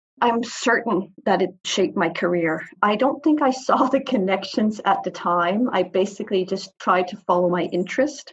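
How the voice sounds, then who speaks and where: A woman speaks at a moderate pace in a somewhat breathy voice with lively intonation. She leaves hardly any pauses. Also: medium pitch for a woman. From Greenland, Nuuk. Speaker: consultant on Arctic affairs. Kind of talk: interview.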